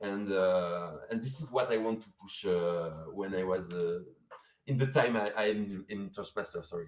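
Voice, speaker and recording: The speaker has a French accent and a moderate pace. Pitch varies in an ordinary way. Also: man, fairly low pitch for a man. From France. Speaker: sponsor representative. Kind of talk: live stream interview. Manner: halting, many fillers.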